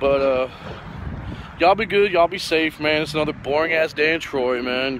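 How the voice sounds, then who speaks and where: Noticeable background noise sits under a man talking at a fairly quick pace, the sound dry with no echo. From Puerto Rican family, born in El Paso, Texas. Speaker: truck driver vlogger. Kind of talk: casual vlog monologue. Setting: at a truck yard, selfie video. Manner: laid-back, swearing, laughing. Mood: relaxed, joking, slangy.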